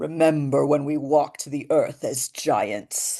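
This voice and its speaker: A resonant, put-on character voice at low-to-middle pitch and a fairly slow pace. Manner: grand, solemn.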